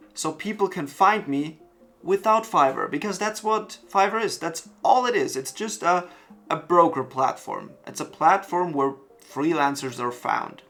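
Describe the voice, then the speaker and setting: A man with a high voice and a non-native accent talks at a fairly slow pace with lively intonation while music plays in the background. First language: German. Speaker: web designer, freelancer. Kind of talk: talking-head vlog.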